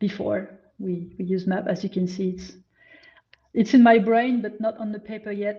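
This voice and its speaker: A woman's somewhat breathy, medium-pitched voice with fairly even intonation. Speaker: data visualization designer and magazine creator. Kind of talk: presentation talk. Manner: halting.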